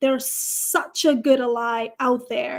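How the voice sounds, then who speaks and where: Here a woman talks in an animated tone with a non-native accent. Her voice is high-pitched. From Nepal. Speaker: career coach. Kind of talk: panel discussion on live stream.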